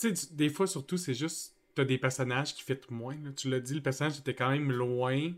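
Here a man has an unremarkable speaking voice with a fairly high pitch. He talks at a fairly quick pace with ordinary pitch variation. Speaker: YouTube channel host. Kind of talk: casual chat.

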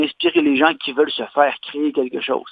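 Pitched fairly high, a man talks at a very fast pace. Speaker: leather craftsman. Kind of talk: interview. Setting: phone call.

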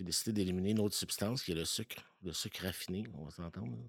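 On a very clean recording with a silent background, a man with a very deep, low pitch talks at a moderate pace with ordinary pitch variation. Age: 40s. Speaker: podcast guest sharing recovery story. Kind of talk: personal testimony. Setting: home basement.

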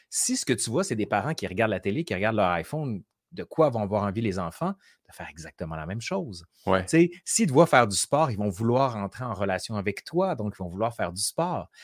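A man's fairly low, animated voice at a fairly quick pace with very wide pitch swings, dry and close with no echo, in a very clean recording over a silent background. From Quebec City. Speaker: historian and YouTuber. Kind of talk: casual interview chat.

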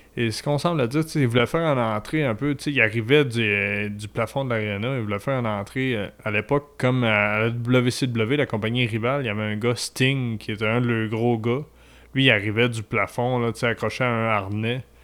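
A man with an ordinary speaking voice talks at a fairly quick pace. His pitch is medium and his intonation fairly even. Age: 30s. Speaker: wrestling commentator. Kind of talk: casual chat.

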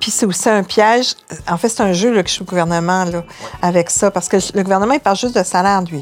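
A woman talks at a fairly quick pace in an ordinary speaking voice. Her medium pitch shows ordinary pitch variation. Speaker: journalist and columnist. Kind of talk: interview.

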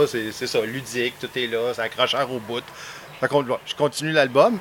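The speaker goes at a fairly slow pace with long, frequent pauses over noticeable background noise. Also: man. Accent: Quebec. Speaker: podcast host. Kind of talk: casual interview. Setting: outdoors at home.

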